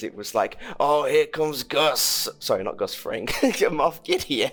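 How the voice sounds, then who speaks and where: Music plays in the background as someone speaks at a moderate pace in a British accent. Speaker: film podcast host. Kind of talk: casual chat. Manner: halting.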